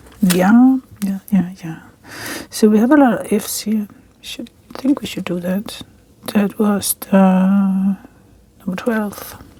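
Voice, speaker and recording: At a very slow pace with long, frequent pauses, a relaxed-toned speaker talks in a Danish accent over noticeable background noise. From Denmark. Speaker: crafting vlogger. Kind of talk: casual chat while crafting. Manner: relaxed, slightly halting.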